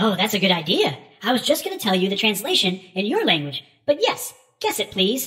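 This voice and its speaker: Using a put-on character voice, a female-sounding speaker goes at a fairly quick pace with medium pitch. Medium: read story. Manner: theatrical, fussy, long-winded.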